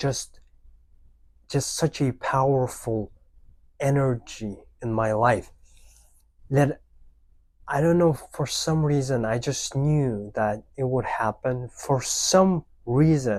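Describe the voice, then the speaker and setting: In a very clean recording with a silent background, a man with a non-native accent speaks at a very slow pace, with long, frequent pauses and ordinary pitch variation. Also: medium pitch for a man. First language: not English. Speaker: language learning youtuber. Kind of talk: unscripted motivational talk to camera. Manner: spontaneous, unscripted.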